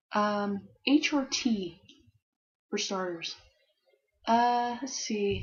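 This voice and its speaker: Her voice is somewhat breathy and fairly high-pitched, and this woman uses ordinary pitch variation. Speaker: Formula One fan vlogger. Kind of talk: casual talk to camera. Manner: hesitant, rambling, stuttering.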